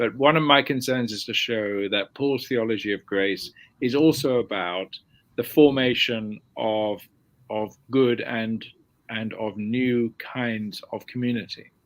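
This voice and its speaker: A man with a southern English accent speaks at a fairly slow pace in a medium-pitched voice. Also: ordinary pitch variation, very clean recording, silent background. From London, England. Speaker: theology professor. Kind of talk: interview.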